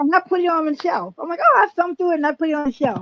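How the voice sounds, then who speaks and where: This voice has an American accent and a dry, close sound with no echo. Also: woman. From US, raised during segregation. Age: 70s. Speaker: health and diet guest. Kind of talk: interview.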